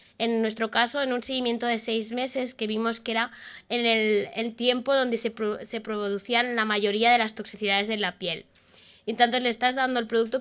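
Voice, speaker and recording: A woman speaks at a fairly high pitch and a fairly quick pace in a monotone with flat intonation. The recording is very clean, its background silent. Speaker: oncology nurse researcher giving a talk. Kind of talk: conference talk. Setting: stage at lectern with audience. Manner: fast.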